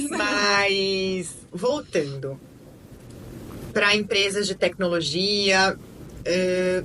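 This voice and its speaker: Speech comes at a very slow pace with long, frequent pauses and ordinary pitch variation over noticeable background noise. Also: woman, medium pitch for a woman. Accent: São Paulo. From Brazil, São Paulo. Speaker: lawyer and podcast host. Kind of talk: casual chat.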